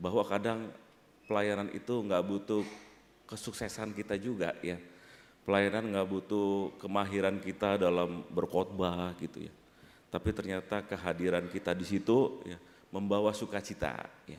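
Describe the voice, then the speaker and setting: Speaking in a Jakarta accent, a man talks at a moderate pace with a fairly low pitch and monotone, flat intonation. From Jakarta, Indonesia. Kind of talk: sermon. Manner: conversational, frequent filler 'ya'.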